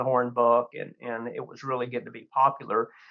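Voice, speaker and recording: With a Texan accent, a man talks at a very fast pace. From Texas Hill Country. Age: 60s. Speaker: hunting magazine editor. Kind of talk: podcast interview.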